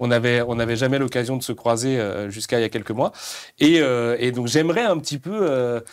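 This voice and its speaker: A man with a medium pitch speaks at a fairly quick pace with ordinary pitch variation. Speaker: live stream host for a manga publisher. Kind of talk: live stream interview. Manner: fast.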